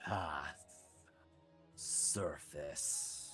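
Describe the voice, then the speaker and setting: Over clear music in the background, a man puts on a character voice, growling and rumbling. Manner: ominous, commanding.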